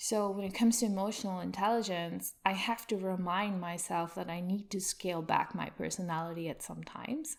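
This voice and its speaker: A soft-spoken woman talking at a fairly quick pace. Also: medium pitch for a woman, ordinary pitch variation, hardly any pauses. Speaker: UX consultant. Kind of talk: podcast interview.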